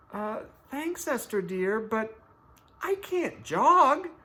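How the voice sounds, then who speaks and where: A man's put-on character voice, extremely high-pitched and very slow. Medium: read story. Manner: giggly, warm.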